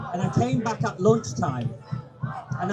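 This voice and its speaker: A man speaks at a moderate pace while noticeable background noise and audible echo from the room surround him. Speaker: campaigner, ex-serviceman. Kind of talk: public speech. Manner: quiet-spoken.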